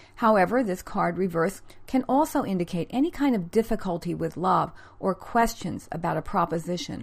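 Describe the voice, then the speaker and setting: In an American accent, a woman with a medium, somewhat breathy voice talks at a fairly quick pace with lively intonation. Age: 50s. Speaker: podcast host and author. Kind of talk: scripted narration with chatty intro. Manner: conversational, laughs often.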